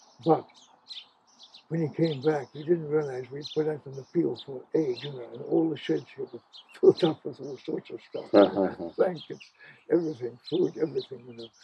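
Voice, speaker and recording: Noticeable background noise accompanies a man whose speech has long, frequent pauses and big swings in loudness. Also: moderate pace. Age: 80s+. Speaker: farmer. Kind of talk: interview answer.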